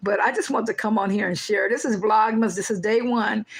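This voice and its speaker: Noticeable background noise sits behind a woman's voice. She speaks at a fairly high pitch and a fairly quick pace. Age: 60s. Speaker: faith vlogger / devotional livestreamer. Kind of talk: casual livestream devotional talk. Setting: livestream.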